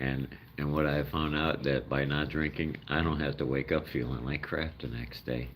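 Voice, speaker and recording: In an American accent, a man speaks with a very deep, low pitch and monotone, flat intonation. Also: moderate pace. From Chicago, US Midwest. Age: 60s. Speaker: live streamer feeding raccoons. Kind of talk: casual live-stream chat. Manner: rambling, halting.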